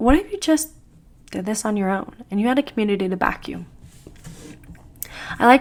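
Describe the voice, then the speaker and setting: A woman is speaking. Her pace is very fast. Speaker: lifestyle vlogger. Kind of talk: casual vlog monologue. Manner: chatty.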